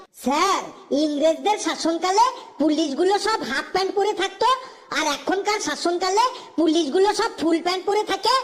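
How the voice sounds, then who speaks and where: A woman's cartoonish character voice at an extremely high pitch, delivered at a moderate pace. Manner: pleading, deferential.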